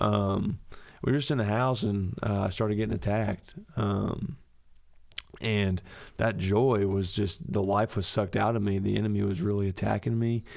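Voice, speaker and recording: In a plain, everyday voice, a man speaks at a fairly low pitch and moderate pace with ordinary pitch variation and very even loudness, captured in a very clean recording with a silent background. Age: 20s. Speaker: church podcast host. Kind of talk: casual chat.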